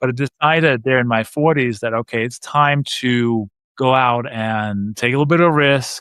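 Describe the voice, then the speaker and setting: A man with a slight Danish accent speaks at a medium pitch and a moderate pace, with ordinary pitch variation. The sound is dry and close, with no echo. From Denmark. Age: 50s. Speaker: real estate investor. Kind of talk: podcast interview.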